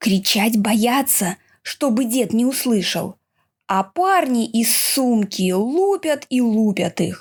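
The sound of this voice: The voice is an unforced reading voice. The background is quiet.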